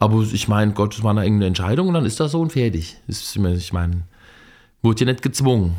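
In a very clean recording with a silent background, a man with a dark, mellow tone talks very fast with lively intonation. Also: fairly low pitch for a man. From Germany, Fulda (eastern Hesse). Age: 50s. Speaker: train conductor. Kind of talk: casual chat. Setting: on a train.

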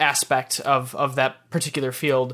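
In an American accent, a man speaks at a fairly slow pace. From US Midwest, Michigan. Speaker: motion designer. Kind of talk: casual interview. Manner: halting, many fillers and repeats.

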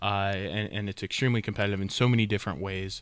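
Over a silent background in a very clean recording, a man talks at a fairly quick pace with a fairly low pitch. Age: 30s. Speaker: podcast host and supplement store owner. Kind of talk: casual chat.

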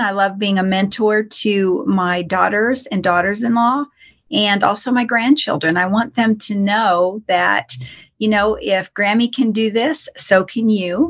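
With an American accent, a woman talks at a fairly slow pace, somewhat breathy, with ordinary pitch variation. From Colorado. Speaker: financial coach. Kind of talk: interview.

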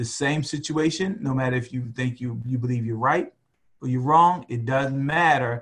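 With an American accent, a man speaks in a normal speaking voice at medium pitch. His pace is moderate and his pitch variation ordinary. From US, West Baltimore, Maryland. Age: 50s. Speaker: retired military officer and father. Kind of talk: casual interview.

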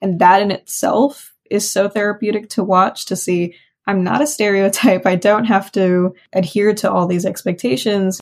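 A woman's plain, everyday voice with ordinary pitch variation. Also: medium pitch for a woman, moderate pace, hardly any pauses. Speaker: counseling student. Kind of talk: interview conversation.

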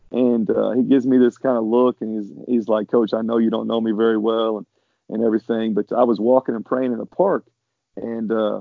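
A man with an American accent talks at a fairly quick pace in an ordinary speaking voice, with medium pitch and fairly even intonation. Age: 50s. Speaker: basketball coach. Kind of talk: interview.

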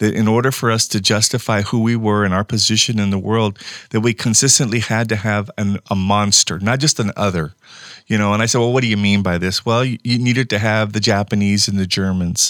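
A plain, everyday voice at a fairly quick pace with fairly even intonation, dry, close sound with no echo, and a very clean recording with a silent background. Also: man. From rural California, Mexican-American. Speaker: professor. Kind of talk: panel discussion.

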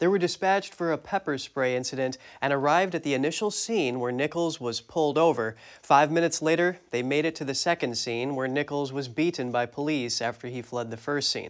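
In a very clean recording with a silent background, a man uses an ordinary speaking voice at a fairly high pitch with ordinary pitch variation. He moves at a fairly quick pace with hardly any pauses. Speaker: news anchor. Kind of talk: news reading. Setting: studio.

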